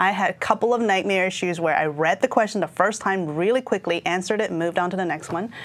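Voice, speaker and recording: Speaking very fast with hardly any pauses, a woman holds a medium pitch with ordinary pitch variation. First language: not English. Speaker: IT certification trainer. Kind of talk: exam prep discussion. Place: studio. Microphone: lapel.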